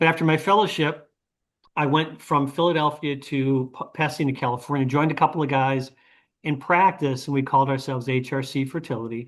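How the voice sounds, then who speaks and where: A man with an ordinary speaking voice, fairly high-pitched, at a fairly quick pace with fairly even intonation, against a quiet background. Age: 60s. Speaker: retired physician. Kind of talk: panel interview. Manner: conversational, with filler words.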